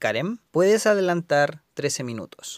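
In a dry, close recording with no echo, a man with an unremarkable speaking voice talks fairly slowly, his intonation lively. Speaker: podcast host. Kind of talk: casual chat.

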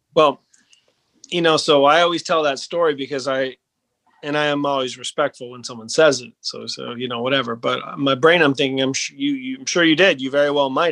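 Speaking with an American accent, a man uses an ordinary speaking voice at a fairly high pitch and a fairly quick pace. His intonation is fairly even, with big swings in loudness. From US Northeast, Maine. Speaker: business founder. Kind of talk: interview.

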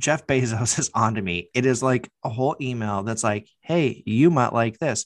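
Hardly pausing, a man talks in an ordinary speaking voice at a moderate pace and medium pitch, with ordinary pitch variation on a very clean recording with a silent background. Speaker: podcast co-host. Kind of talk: casual banter.

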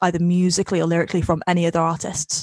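With a Welsh accent, a woman speaks in a dry, close sound with no echo. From Wales. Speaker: podcast host. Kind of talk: casual interview chat.

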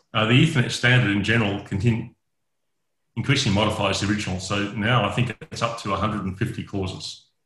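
Speaking at a fairly quick pace, a man with an Australian accent keeps a fairly low pitch and fairly even intonation. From Western Australia (Perth). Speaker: network engineer. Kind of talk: interview.

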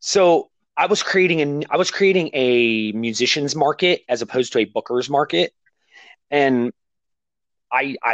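In an American accent, a man uses an ordinary speaking voice with a fairly high pitch and lively intonation, in a dry, close sound with no echo. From Ohio, US Midwest. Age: 30s. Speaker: podcast host. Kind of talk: casual interview.

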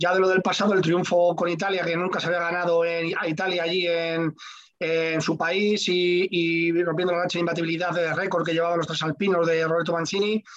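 A man with a Madrid accent speaks in a high pitch. His intonation is monotone and flat, with noticeable background noise. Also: moderate pace. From Madrid, Spain. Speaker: radio host. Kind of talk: casual chat.

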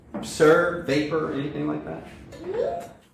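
Over a noticeable hum of background noise, the words come out very slowly. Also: man. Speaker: church discussion leader. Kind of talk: teaching discussion. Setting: in-person gathering with families. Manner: informal and conversational.

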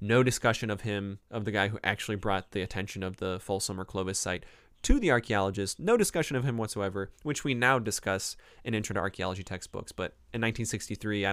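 A man speaks at a very fast pace in an American accent, his pitch fairly low. His intonation stays fairly even. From Cleveland, Ohio. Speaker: professor and podcast host. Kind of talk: casual book review talk, live stream. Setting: live YouTube recording.

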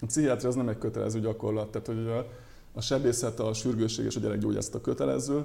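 His voice has a dark, mellow tone at a medium pitch for a man, with ordinary pitch variation. The man speaks at a very fast pace. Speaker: doctor. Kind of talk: interview. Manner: halting.

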